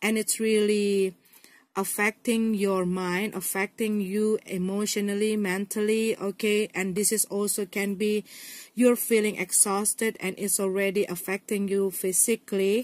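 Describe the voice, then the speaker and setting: A woman of medium pitch speaks with an Indonesian accent at a fairly slow pace, in monotone, flat intonation, with a dry, close sound and no echo. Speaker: tarot reader. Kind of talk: tarot reading to camera.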